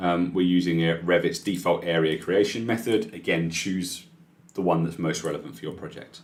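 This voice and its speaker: This man has a very deep, low pitch and speaks with a British accent. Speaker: software trainer. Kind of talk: live tutorial webinar. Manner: fast.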